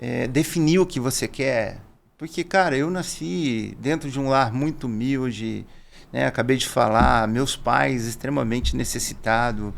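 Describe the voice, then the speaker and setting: The speaker has a plain, everyday voice, talking at a fairly slow pace with ordinary pitch variation. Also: man, medium pitch for a man. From Brazil, interior of São Paulo state. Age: 50s. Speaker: business owner, salesman. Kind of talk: podcast interview. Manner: conversational, informal.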